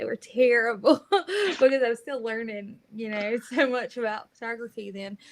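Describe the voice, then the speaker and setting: The speaker has a North Carolina accent. The pace is moderate. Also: woman. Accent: Southern US (North Carolina). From coastal North Carolina (Southport). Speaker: high school sports photographer. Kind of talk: interview. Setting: live video stream.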